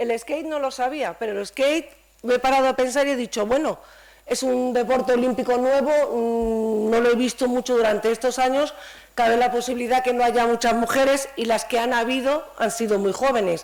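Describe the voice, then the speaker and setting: Fairly even intonation at a moderate pace. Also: woman, high pitch for a woman. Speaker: panel speaker from municipal sports administration. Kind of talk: panel discussion.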